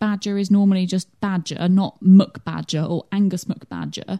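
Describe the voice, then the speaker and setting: A woman with a dark, mellow tone and a somewhat breathy voice talks at a moderate pace, the sound dry and close with no echo. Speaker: podcast co-host. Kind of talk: casual chat.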